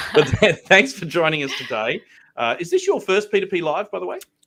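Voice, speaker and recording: A man with a strong Australian accent and a high voice, at a fairly quick pace with very wide pitch swings. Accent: broad Australian. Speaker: host.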